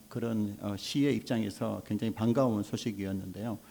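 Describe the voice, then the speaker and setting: A man speaks with a Gyeongsang accent. His tone is dark and mellow, at medium pitch. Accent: Gyeongsang dialect, noticeable. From South Korea, Gyeongsang (Mungyeong, North Gyeongsang). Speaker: childcare support center association head. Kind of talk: panel forum talk.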